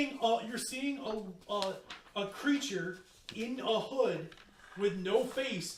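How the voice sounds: Here, someone reads in a natural reading voice.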